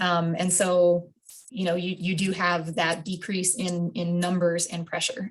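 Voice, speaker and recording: A woman's somewhat breathy voice, medium in pitch, at a moderate pace. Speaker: wildlife biologist. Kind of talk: public meeting presentation. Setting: video call.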